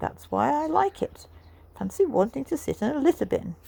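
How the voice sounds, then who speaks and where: A woman speaks in a put-on character voice. Her pace is moderate. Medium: read story. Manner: bouncy, blunt.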